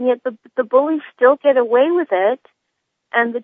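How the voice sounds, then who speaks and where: With ordinary pitch variation, a woman speaks at a high pitch. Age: 50s. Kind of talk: phone-in call.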